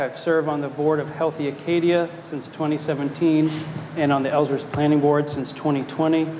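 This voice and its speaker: Fairly high male voice at a moderate pace, with noticeable background noise and audible room echo. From Maine, South Portland. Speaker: city council candidate, attorney. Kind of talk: candidate forum speech. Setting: stage with live audience.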